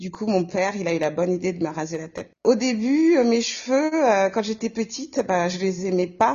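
A woman's somewhat breathy voice moves at a fairly slow pace with lively intonation. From Comoros. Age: 40s. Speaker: nurse. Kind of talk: casual interview.

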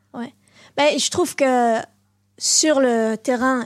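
A woman's high-pitched voice with fairly even intonation, on a very clean recording with a silent background. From Belgium, Brussels (Molenbeek). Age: 20s. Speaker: ju-jitsu champion. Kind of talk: interview.

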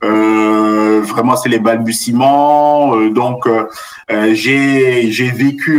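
A man at medium pitch with fairly even intonation, against noticeable background noise. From Central Africa (Cameroon, Benin, Central African Republic). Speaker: business school professor. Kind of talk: interview. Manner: halting, many repetitions and fillers.

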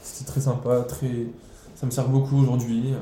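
Flat, monotone delivery from a man at medium pitch, fairly slow, with audible room echo. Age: 20s. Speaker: cook. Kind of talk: interview. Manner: halting.

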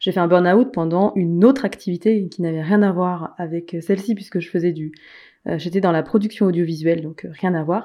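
A woman speaks at a fairly quick pace with fairly low pitch and fairly even intonation. She has a plain, everyday voice. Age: 30s. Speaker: life coach and author. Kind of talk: interview.

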